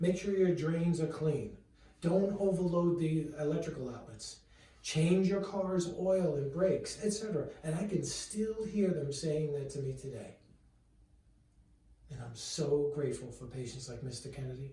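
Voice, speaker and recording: Lively intonation and big swings in loudness mark this moderately paced speech, heard with audible room echo. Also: man. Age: 60s. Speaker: chiropractor. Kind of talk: direct-to-camera talk. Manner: conversational.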